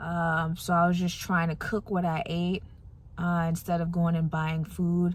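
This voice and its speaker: A soft-spoken woman talks fairly slowly in a somewhat breathy, fairly low voice. Her intonation is monotone and flat, and her loudness stays very even. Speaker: TV meteorologist, vlogger. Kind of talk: casual vlog chat.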